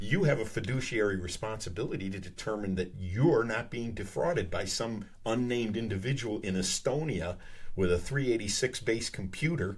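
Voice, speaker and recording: At a moderate pace with hardly any pauses, the somewhat breathy voice shows ordinary pitch variation against audible room echo. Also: man, fairly low pitch for a man. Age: 60s. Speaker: comedian. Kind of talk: casual chat. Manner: animated.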